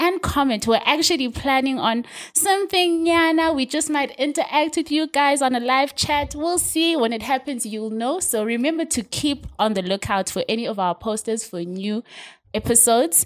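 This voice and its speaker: A woman's high, lively voice at a moderate pace over a quiet background. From South Africa. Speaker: podcast host. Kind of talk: casual interview chat. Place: studio. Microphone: studio mic.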